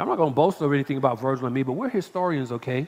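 An animated tone comes through as a man speaks. His pitch is fairly high, with ordinary variation. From Atlanta, Georgia. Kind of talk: lecture to live audience. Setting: stage with audience.

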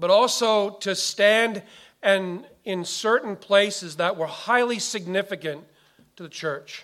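A man with a high pitch talks at a fairly slow pace with ordinary pitch variation. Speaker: pastor. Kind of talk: sermon. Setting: church.

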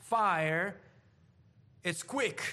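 The voice has a bright, sharp tone and an Italian accent, moving at a very slow pace with ordinary pitch variation. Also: man. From Italy. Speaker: preacher. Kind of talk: sermon.

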